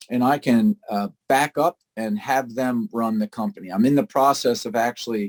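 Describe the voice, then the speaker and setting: With a plain, everyday voice, a man talks at a moderate pace with hardly any pauses, medium pitch, and lively intonation, in a dry, close sound with no echo. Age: 60s. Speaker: appliance service business owner. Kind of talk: casual presentation on a video call. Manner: conversational with many filler words.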